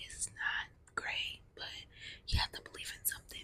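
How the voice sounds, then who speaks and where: A woman, whispering. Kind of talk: ASMR whispered ramble. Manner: whispered.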